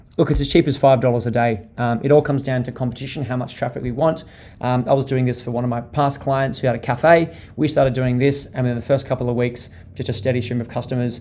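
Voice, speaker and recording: A man with an Australian accent talks at a very fast pace in a dark, mellow tone, his intonation fairly even. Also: medium pitch for a man. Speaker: digital marketing strategist. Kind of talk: webinar presentation. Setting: online webinar.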